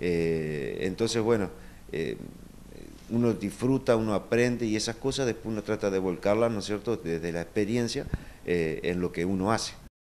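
Light background noise sits behind a man with a fairly low pitch. He talks at a moderate pace with ordinary pitch variation. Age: 40s. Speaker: folk dance troupe director. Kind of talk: interview. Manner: halting, many fillers. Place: home room. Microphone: video call.

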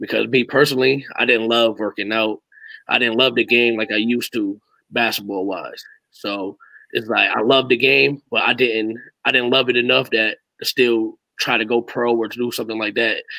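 A man speaks with an American accent in a bright, sharp tone. His intonation stays fairly even, and the sound is dry with no echo. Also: medium pitch for a man, moderate pace, quiet background. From Hamden, Connecticut. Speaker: youth basketball coach. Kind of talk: casual interview. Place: home room.

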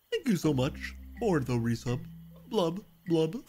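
A put-on character voice sits at a middle pitch. It moves at a moderate pace, with faint music in the background. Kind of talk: extremely well-spoken. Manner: playful, bubbling 'blub' sounds.

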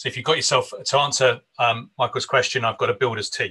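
The speaker is a man with a fairly quick pace. Nothing disturbs the quiet background. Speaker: minister hosting an online conference. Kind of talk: conference host introduction and prayer. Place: home room. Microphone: video call.

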